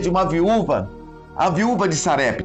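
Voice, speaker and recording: High-pitched male voice with music in the background. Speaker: pastor. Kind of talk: sermon preaching to a congregation.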